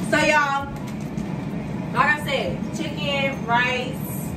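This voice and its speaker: Loud noise fills the background. Over it, a woman talks at a very slow pace. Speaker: vlogger. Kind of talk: casual talk to camera. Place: kitchen. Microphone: phone near.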